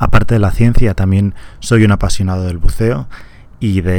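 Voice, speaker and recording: Speaking at a fairly slow pace with a Castilian accent, a man delivers fairly even intonation in a very deep, low pitch with a dark, mellow tone. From Valladolid, Spain. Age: 30s. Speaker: researcher, radio co-host. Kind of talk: radio science show, explanatory. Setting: community radio studio.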